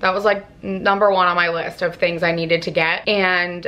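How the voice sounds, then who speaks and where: Monotone, flat intonation in a fairly low female voice. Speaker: lifestyle vlogger. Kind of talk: casual vlog talk to camera. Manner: casual, filler-heavy.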